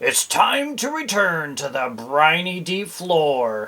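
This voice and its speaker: In a put-on character voice, the speaker growls gruffly at a very slow pace. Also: man, high pitch for a man. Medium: read story. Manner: gruff, snarling.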